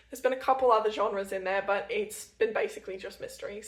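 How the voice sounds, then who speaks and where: Noticeable background noise runs beneath a woman whose pitch varies in an ordinary way. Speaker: book vlogger. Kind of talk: casual vlog monologue. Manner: fast.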